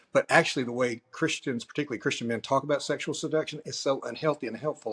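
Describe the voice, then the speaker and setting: An ordinary speaking voice from a man at medium pitch with ordinary pitch variation, in a very clean recording with a silent background. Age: 60s. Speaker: pastor. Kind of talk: interview.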